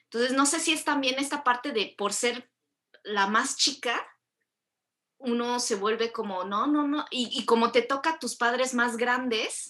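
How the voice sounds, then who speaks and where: Bright and sharp in tone, the voice moves at a fairly slow pace with ordinary pitch variation. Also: woman, high pitch for a woman. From Mexico. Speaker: podcast host. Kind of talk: casual chat.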